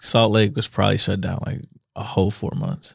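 This is a plain, everyday voice from a man with an American accent. He has a medium pitch and a moderate pace. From US Midwest, Missouri (Kansas City, St. Louis). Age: 30s. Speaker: DJ and talent buyer. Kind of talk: casual chat. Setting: studio.

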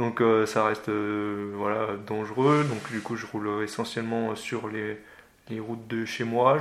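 The speaker is a man. His pitch is medium. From France, Loire (Forez plain). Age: 20s. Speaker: tandem para-cyclist. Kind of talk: interview, casual chat. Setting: at his home. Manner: halting, many repetitions and fillers.

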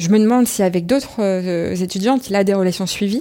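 A woman with a dark, mellow tone speaks at a fairly quick pace and a medium pitch. The recording is very clean, with a silent background. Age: 30s. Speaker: interviewee sharing personal story. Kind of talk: testimony.

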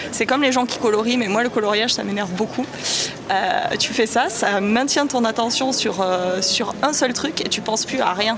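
A woman with a fairly high pitch and ordinary pitch variation talks at a moderate pace over noticeable background noise and audible room echo. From southern France, Avignon. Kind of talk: casual chat. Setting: outdoors.

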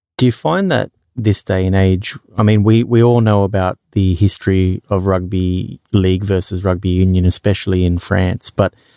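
Speaking at a moderate pace with an Australian accent, a man keeps a very deep, low pitch, monotone, flat intonation and very even loudness on a very clean recording with a silent background. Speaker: podcast host. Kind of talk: casual interview chat.

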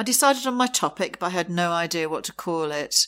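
Against a silent background in a very clean recording, a woman talks at a moderate pace with a fairly low pitch. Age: 60s. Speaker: podcast host. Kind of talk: solo monologue. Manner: hesitant with fillers.

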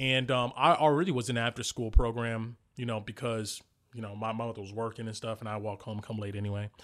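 The recording is very clean, with a silent background, and carries a man's plain, everyday voice. He speaks at a fairly quick pace, medium in pitch, with fairly even intonation. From New Jersey, inner city. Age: 30s. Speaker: podcaster and game master. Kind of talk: casual chat.

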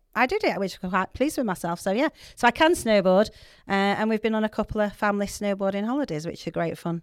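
Speaking at a very fast pace with a Yorkshire accent, a woman's medium-pitched voice comes through in a dry, close sound with no echo. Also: very clean recording, silent background. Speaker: podcast guest, church project mentor. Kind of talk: casual, chatty.

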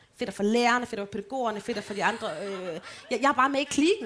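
A woman talks fairly quickly at a fairly high pitch, her pitch varying in an ordinary way. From Denmark, Holme near Aarhus. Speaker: podcast co-host. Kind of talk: live show banter. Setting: stage with audience.

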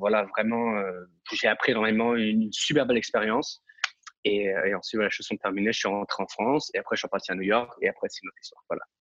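Talking at a very fast pace, a man swings widely in loudness. The sound is dry and close, with no echo. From Europe. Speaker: dancer and acrobat. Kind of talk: interview. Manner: halting, many fillers and repetitions.

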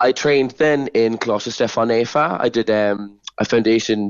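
A man with a Cork accent speaks at a medium pitch. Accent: Cork Irish. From Ireland, Cork. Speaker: dancer and choreographer. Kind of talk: radio interview.

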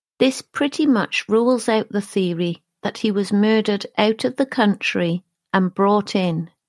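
At a fairly slow pace and very even loudness, a woman speaks in an unremarkable speaking voice of medium pitch with ordinary pitch variation, on a very clean, dry, close recording with no echo and a silent background. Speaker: true crime podcast narrator. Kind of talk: true-crime narration. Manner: measured, sombre, steady; clear, formal, even-paced.

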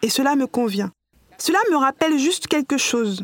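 A woman speaks at a moderate pace with lively intonation and a high pitch. The sound is dry and close with no echo, over noticeable background noise. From New York, US. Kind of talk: podcast interview.

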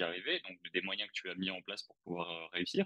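A man speaks at a very deep, low pitch, the sound dry and close with no echo. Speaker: watch channel host. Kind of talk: interview. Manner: hesitant.

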